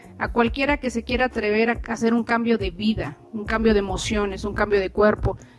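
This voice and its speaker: The voice has ordinary pitch variation against noticeable background noise. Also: woman. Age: 50s. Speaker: podcast host and doctor. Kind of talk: casual interview.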